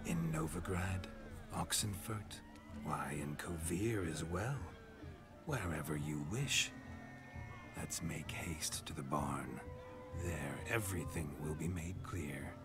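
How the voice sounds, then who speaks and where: Loud background music under a man's put-on character voice, very deep and low in pitch, at a fairly slow pace. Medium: game stream. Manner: theatrical, smug, florid.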